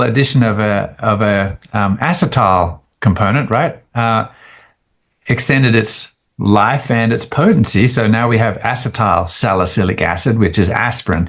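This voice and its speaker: A man of medium pitch with an Australian accent and ordinary pitch variation. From Australia, rural. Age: 60s. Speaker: scientist. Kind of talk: interview. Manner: hesitant fillers.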